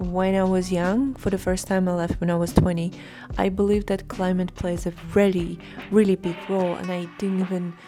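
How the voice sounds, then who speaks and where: With music in the background, a woman of medium pitch speaks at a moderate pace in a Russian accent with fairly even intonation. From Russia, Moscow. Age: 30s. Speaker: lifestyle vlogger. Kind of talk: personal vlog monologue.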